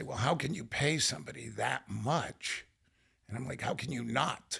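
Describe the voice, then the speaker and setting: The voice is bright and sharp, with vocal fry and an American accent. It moves at a moderate pace with lively intonation. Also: man. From northern Ohio. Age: 70s. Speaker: business owner. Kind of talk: podcast interview.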